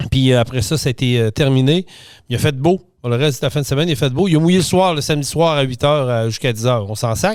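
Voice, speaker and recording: Very fast speech in a Quebec accent, with ordinary pitch variation, on a very clean recording with a silent background. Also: man. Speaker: podcast host. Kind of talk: casual podcast monologue. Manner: hesitant, many filler sounds.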